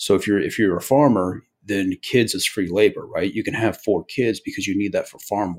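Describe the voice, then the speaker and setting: With an American accent and an ordinary speaking voice, a man talks at a moderate pace and fairly low pitch, with ordinary pitch variation and big swings in loudness. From US, Eastern Oregon. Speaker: investor and military veteran. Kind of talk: interview. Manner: conversational, many fillers.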